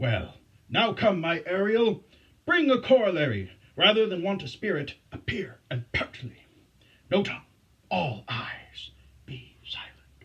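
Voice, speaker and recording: A put-on character voice sits at a middle pitch. It moves at a fairly slow pace with long, frequent pauses. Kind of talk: Shakespearean stage verse. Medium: stage play. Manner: commanding, formal verse speech.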